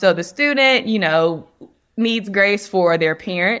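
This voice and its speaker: A woman speaks in an American accent at a moderate pace. Her tone is bright and sharp. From North Carolina. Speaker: clinical social worker. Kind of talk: interview.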